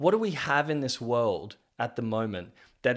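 With lively intonation and a medium pitch, a man in an Australian accent talks at a fairly slow pace over a silent background in a very clean recording. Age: 30s. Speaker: podcast host. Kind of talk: personal storytelling monologue. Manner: halting.

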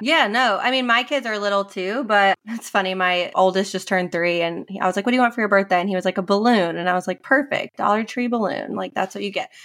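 With an American accent, a woman talks at a very fast pace with hardly any pauses. Her pitch is medium. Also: ordinary pitch variation. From New York. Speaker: personal finance coach. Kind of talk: podcast interview.

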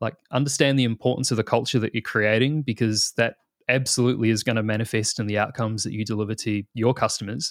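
A man with a New Zealand accent and fairly even intonation. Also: dry, close sound with no echo. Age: 30s. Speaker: product manager. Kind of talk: interview.

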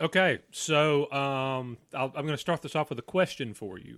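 With a rural Southern US accent, a man speaks at a fairly high pitch and fairly slow pace, showing ordinary pitch variation and big swings in loudness. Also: very clean recording, silent background. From Southeastern US. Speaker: guest podcast co-host. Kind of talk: casual, joking. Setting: home podcast mic.

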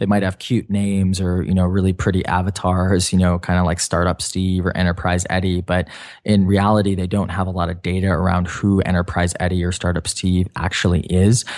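This man talks at a fairly quick pace in a very deep, low pitch. His intonation is monotone and flat, with a quiet background behind him. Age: 20s. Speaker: pricing software founder. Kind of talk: interview. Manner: hesitant, many fillers.

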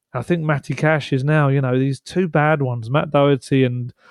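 Against a quiet background, a man with an unremarkable speaking voice talks at a fairly quick pace, his medium pitch carried by fairly even intonation. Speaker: football journalist and co-host. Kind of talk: casual chat.

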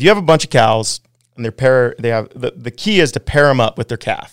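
A man with a Western US accent speaks at a fairly quick pace. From Wyoming, US. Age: 40s. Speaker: pro snowboarder and rancher. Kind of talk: casual chat. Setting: studio.

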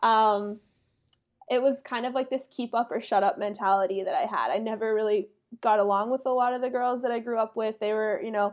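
Here is a woman with an American accent and a plain, everyday voice, pitched fairly high, with ordinary pitch variation and a moderate pace. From US Northeast, small-town Pennsylvania. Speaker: digital creator. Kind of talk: casual chat.

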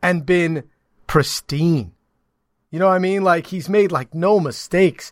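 A man speaks loud in a high pitch. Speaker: sports broadcaster and co-host. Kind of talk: casual sports banter podcast. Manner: loud, opinionated.

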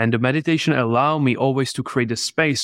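A man with a Czech accent at a fairly quick pace, fairly even intonation, and a dry, close sound with no echo against a quiet background. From Czech Republic. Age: 20s. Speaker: entrepreneur. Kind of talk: interview. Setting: video call.

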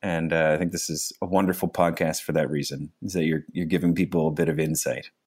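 A man's very deep, low voice in a Canadian Maritime accent, monotone and flat, at a very fast pace with hardly any pauses. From Nova Scotia, Canada. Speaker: public servant with low vision. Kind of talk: casual interview chat. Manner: halting, with frequent fillers.

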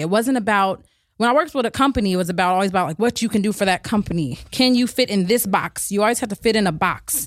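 A woman with an American accent speaks at a medium pitch with ordinary pitch variation. She has a plain, everyday voice, on a very clean recording with a silent background. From Berkeley and East Oakland, California. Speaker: hair stylist. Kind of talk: interview.

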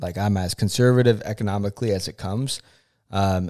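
The man has a normal speaking voice, fairly low in pitch. His intonation is fairly even, and the recording is very clean with a silent background. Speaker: podcast host's fiance. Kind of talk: casual chat.

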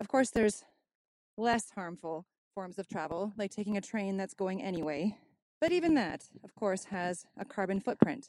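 A woman's plain, everyday voice at medium pitch and moderate pace, with big swings in loudness and a dry, close sound with no echo. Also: lively intonation. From Canada. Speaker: caller. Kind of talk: listener question message. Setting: outdoors, windy.

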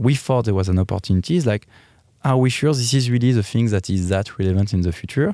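Speaking with a French accent, the man has a medium pitch and a dark, mellow tone. His loudness stays very even, and his pitch varies in an ordinary way. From France, Paris. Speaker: lingerie company executive. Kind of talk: interview. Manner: halting.

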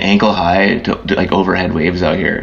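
A man with an American accent is heard over noticeable background noise. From US Northeast, Philadelphia. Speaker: surf photographer. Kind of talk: interview.

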